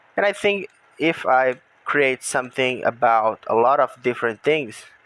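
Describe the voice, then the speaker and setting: A man with a Brazilian Portuguese accent talks at a moderate pace, his pitch swinging very widely, in a dry, close sound with no echo. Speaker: gaming YouTuber. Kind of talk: casual monologue while gaming. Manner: halting.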